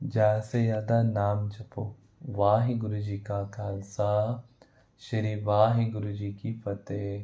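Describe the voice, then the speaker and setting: Somewhat breathy, a man speaks in a fairly low pitch with monotone, flat intonation. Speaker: religious story narrator. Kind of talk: religious exhortation; reading aloud.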